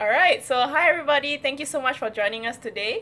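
A woman projects a raised voice at a high pitch with lively intonation. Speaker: podcast host. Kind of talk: casual interview chat. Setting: video call.

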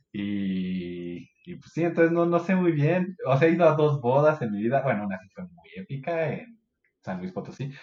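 This man's voice is fairly high in pitch. It swings very widely up and down. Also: moderate pace, big swings in loudness. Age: 30s. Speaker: podcast guest. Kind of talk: casual chat.

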